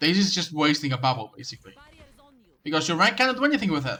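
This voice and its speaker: A man talks in a fairly high, bright, sharp voice. His pitch swings very widely. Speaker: game coach streamer. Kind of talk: live game review commentary. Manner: stuttering; casual conversational.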